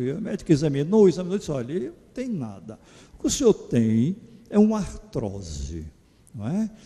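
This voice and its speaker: Moderately paced, this man's speech swings very widely in pitch. His tone is dark and mellow. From Pernambuco, Brazil (Garanhuns). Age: 70s. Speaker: psychologist giving a lecture. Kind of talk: lecture. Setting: church. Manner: conversational, informal.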